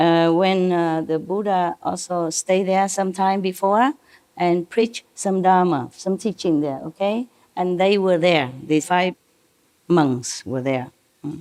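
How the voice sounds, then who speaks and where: At a very slow pace, a woman with a non-native accent speaks at medium pitch with ordinary pitch variation. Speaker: spiritual teacher. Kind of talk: lecture on scripture. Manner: informal, digressive explaining.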